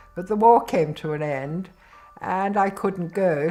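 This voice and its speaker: A woman's dark, mellow voice with a British accent, medium pitch, ordinary pitch variation and a fairly slow pace. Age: 80s+. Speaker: mature PhD student. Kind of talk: interview answer.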